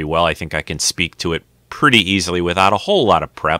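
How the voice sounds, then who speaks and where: A man with a bright, sharp tone talks at a fairly quick pace, the sound dry and close with no echo. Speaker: podcast host. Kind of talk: live vidcast chat. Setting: home video set, live stream. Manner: hesitant, many fillers.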